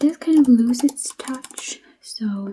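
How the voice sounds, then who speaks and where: The voice is soft-spoken with a gentle tone. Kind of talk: ASMR pharmacist roleplay, soft-spoken. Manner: soft-spoken, gentle, friendly.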